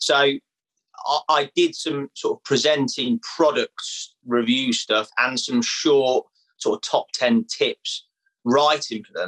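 A man speaks at a very slow pace, his loudness swinging widely. The sound is dry and close, with no echo. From English Midlands (Leicester). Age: 30s. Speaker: fishing media presenter. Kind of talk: casual chat.

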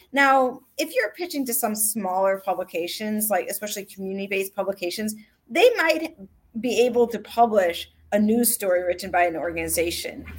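A woman with an American accent and a plain, everyday voice, fairly high in pitch, with lively intonation at a moderate pace. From Chicago. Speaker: radio reporter. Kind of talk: interview. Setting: live stream.

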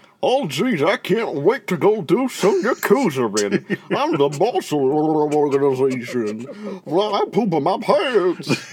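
Putting on a character voice, a man speaks in a high pitch with very wide pitch swings. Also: fairly slow pace. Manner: comedic, mocking.

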